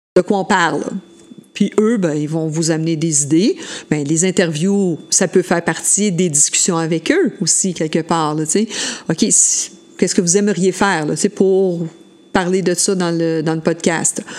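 Woman with a Quebec accent, fairly low pitch, fairly even intonation, fairly slow pace, and noticeable background noise. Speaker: school educator. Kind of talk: casual chat.

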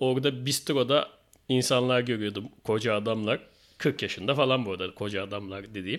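In a very clean recording with a silent background, a man talks at a fairly quick pace. He has an unremarkable speaking voice of medium pitch with ordinary pitch variation. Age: 40s. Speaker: podcast host. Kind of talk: casual chat.

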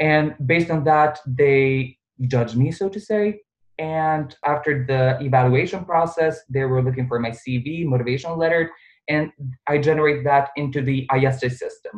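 At a moderate pace, a man with a fairly high pitch speaks in a somewhat breathy voice. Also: ordinary pitch variation. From Bosnia. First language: Bosnian/Serbian. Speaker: pharmacist and research intern. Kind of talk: casual interview. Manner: animated.

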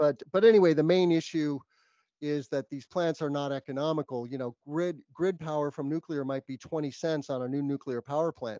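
This man has an American accent and a fairly high pitch for a man. He talks at a fairly quick pace in a normal speaking voice, with fairly even intonation. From New Mexico, US. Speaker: solar business development director and podcaster. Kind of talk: interview.

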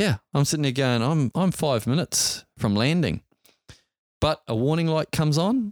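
A man with a New Zealand accent and a fairly high pitch speaks at a moderate pace with lively intonation, on a very clean, silent recording with a dry, close sound and no echo. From New Zealand, Auckland. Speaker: helicopter pilot and entrepreneur. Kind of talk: interview storytelling.

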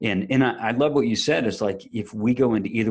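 Talking at a fairly quick pace, a man uses a normal speaking voice with fairly even intonation. The background is quiet. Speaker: podcast co-host guest. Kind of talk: casual conversation.

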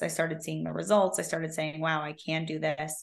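With an American accent, a woman speaks at a very deep, low pitch, her voice showing vocal fry. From US West Coast, Silicon Valley. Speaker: career coach. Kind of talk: interview.

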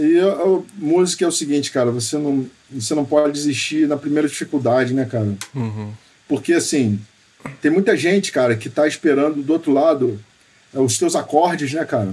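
Over noticeable background noise, a man speaks at a moderate pace in a fairly high pitch. His pitch varies in an ordinary way. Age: 40s. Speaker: guitarist and home studio owner. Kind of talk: casual interview chat.

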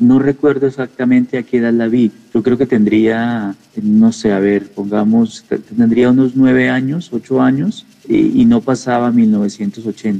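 A man speaks at a medium pitch and a fairly slow pace, with very even loudness and fairly even intonation. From Colombia, Nariño then Bogotá. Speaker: comics writer. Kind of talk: reflective interview monologue. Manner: halting, with many repetitions.

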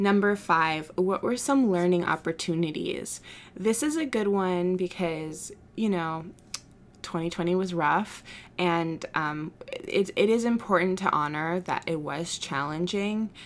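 A woman speaks in a plain, everyday voice at a medium pitch with ordinary pitch variation, recorded very cleanly against a silent background. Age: 20s. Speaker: podcast host and small business owner. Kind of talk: solo podcast monologue. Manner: casual, with fillers and laughs.

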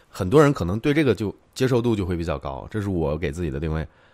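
Very fast speech with very wide pitch swings comes through on a very clean recording with a silent background. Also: man. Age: 30s. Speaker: tech video creator. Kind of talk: live stream chat. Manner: casual, chatty.

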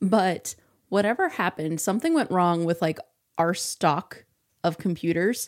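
A woman's medium-pitched voice at a moderate pace, with ordinary pitch variation and very even loudness, on a very clean recording with a silent background. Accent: Midwestern American. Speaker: podcast co-host. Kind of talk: casual chat.

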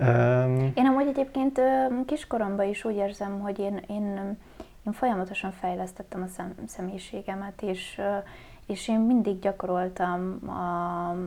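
A woman's dark, mellow tone at medium pitch, with lively intonation and a fairly slow pace. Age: 20s. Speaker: fashion stylist. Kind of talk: casual chat.

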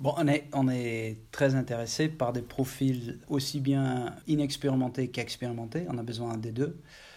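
Over a silent background in a very clean recording, a man speaks fairly slowly with a dark, mellow tone and fairly even intonation. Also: medium pitch for a man, hardly any pauses. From Netherlands, Maastricht. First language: Dutch (speaking French). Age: 40s. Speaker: IT executive. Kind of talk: interview. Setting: office. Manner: halting.

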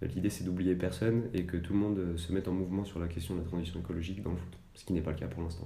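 A man's very deep, low, dark and mellow voice, somewhat breathy, monotone and flat, at a very fast pace amid audible room echo. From France, Annecy (Haute-Savoie). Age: 20s. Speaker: environmental association staff member. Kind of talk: podcast interview. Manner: hesitant, many fillers.

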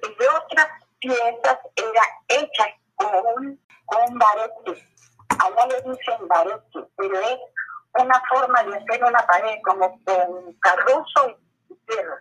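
Speaking very slowly with long, frequent pauses, a woman uses a fairly high pitch. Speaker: grandmother telling life story. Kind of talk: oral history interview. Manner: halting. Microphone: recording quality worse than before.

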